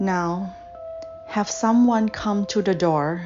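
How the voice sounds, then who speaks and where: Over music in the background, a woman with a calm tone speaks very slowly in a medium pitch, her pitch variation ordinary. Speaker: guided meditation / visualization guide. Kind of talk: guided meditation. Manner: slow, calm, soft-spoken with long pauses.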